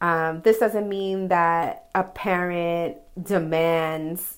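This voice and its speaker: Fairly low-pitched woman in a normal speaking voice, her pitch varying in an ordinary way. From New York, the Bronx. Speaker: listener sending voice message. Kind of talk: voice message.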